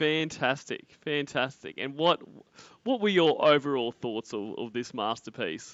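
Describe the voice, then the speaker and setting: Speaking with an Australian accent, a man uses a fairly high pitch and lively intonation at a fairly slow pace. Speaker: livestream host. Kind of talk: casual chat. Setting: online call-in stream.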